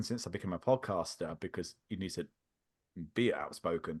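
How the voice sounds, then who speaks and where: Speaking at a fairly quick pace, a man shows vocal fry and a slight British accent. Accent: subtle British. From England. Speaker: podcaster. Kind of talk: casual chat. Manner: halting.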